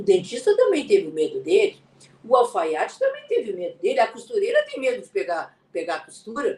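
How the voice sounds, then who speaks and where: Her high-pitched voice swings very widely in pitch as this woman talks at a fairly quick pace. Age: 70s. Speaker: glass and ceramics artist teaching online. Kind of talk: live stream tutorial. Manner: halting, with frequent repetitions.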